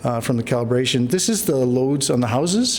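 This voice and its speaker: The man's pitch is fairly high. Noticeable background noise and audible room echo surround him. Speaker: energy engineer presenting at symposium. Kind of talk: conference presentation. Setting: conference stage. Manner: fast.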